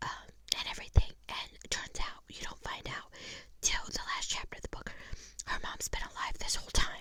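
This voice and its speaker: At a moderate pace, a woman is whispering. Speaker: ASMR creator. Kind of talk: ASMR book review. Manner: whispered.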